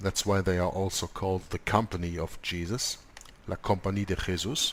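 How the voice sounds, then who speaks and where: This man talks at a fairly low pitch with a non-native accent. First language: not English. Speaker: co-host of a religious discussion show. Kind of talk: conversational discussion. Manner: halting, many fillers.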